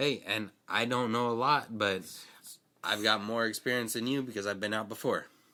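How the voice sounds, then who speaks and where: A loud man speaks at a medium pitch and a moderate pace with a bright, sharp tone. His intonation is fairly even, on a very clean recording with a silent background. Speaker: podcast co-host. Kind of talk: casual chat.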